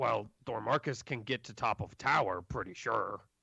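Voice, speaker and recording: Using a put-on character voice at medium pitch, a man speaks at a moderate pace with big swings in loudness. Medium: actual play. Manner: refers to himself in third person, broken grammar.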